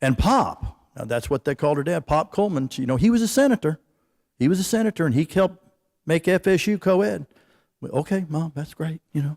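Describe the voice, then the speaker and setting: Speaking with an American accent in an unremarkable speaking voice, a man with a fairly high pitch talks at a fairly quick pace with lively intonation, captured dry and close with no echo on a very clean recording with a silent background. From Florida. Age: 60s. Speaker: award recipient. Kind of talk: acceptance speech. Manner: conversational.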